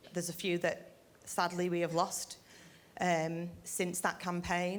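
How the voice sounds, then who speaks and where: Speaking with a British accent, a woman talks at a fairly slow pace in a fairly low pitch, her intonation monotone and flat and her loudness very even. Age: 40s. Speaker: retired neonatal nursing sister, cancer patient. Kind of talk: personal speech to an audience.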